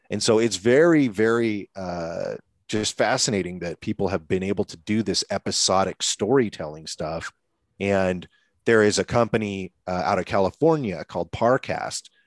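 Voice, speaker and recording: Against a quiet background with a dry, close sound and no echo, a man with an American accent speaks in an unremarkable speaking voice at a moderate pace and fairly low pitch. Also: ordinary pitch variation. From US Pacific Northwest, Seattle. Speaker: media company CEO and entrepreneur. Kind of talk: podcast interview.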